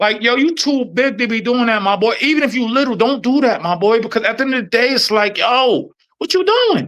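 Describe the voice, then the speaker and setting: With an American accent, the speaker talks at a fairly quick pace in an animated tone, showing ordinary pitch variation and hardly any pauses. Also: man, extremely high pitch for a man. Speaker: podcast host, former corrections officer. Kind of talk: casual chat. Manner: fast; animated, halting with repetitions.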